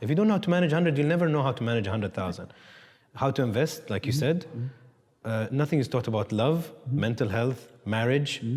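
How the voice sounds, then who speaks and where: Very fast in pace, this man sounds somewhat breathy. His medium pitch carries lively intonation. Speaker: talk show host. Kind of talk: interview conversation.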